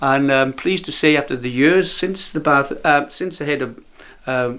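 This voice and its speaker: His voice, a plain, everyday voice, is fairly high in pitch with ordinary pitch variation. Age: 60s. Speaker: eccentric museum owner. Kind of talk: casual interview.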